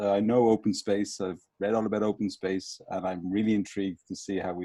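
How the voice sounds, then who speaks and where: The voice has a dark, mellow tone and a Dublin accent, moving at a fairly quick pace. The sound is dry and close, with no echo. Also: man. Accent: Dublin Irish. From Ireland, Dublin. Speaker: business English trainer. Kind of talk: casual chat.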